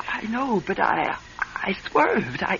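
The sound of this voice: A woman does a put-on character voice with vocal fry, a fairly bright tone and big pitch swings at a slow pace, over faint background noise. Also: medium pitch for a woman.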